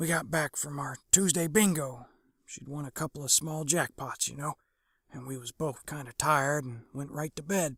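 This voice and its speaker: Man in a raspy, put-on character voice, fairly high in pitch with fairly even intonation, moderate pace and big swings in loudness, in a very clean recording with a silent background and a dry, close sound with no echo. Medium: read story. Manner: folksy, rambling, ungrammatical.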